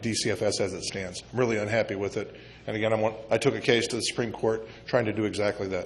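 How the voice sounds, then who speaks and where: Noticeable background noise runs under a man with an American accent. He talks at a very fast pace with fairly even intonation. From US Midwest. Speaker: congressional candidate. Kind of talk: candidate forum answers. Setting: community meeting banquet room.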